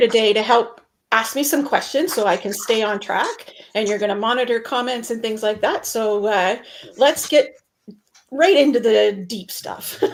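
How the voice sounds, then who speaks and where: With a plain, everyday voice, a woman speaks fairly slowly at a fairly high pitch, with ordinary pitch variation. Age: 60s. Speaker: meeting professional and show host. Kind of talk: live online show, casual discussion. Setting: home office, video stream.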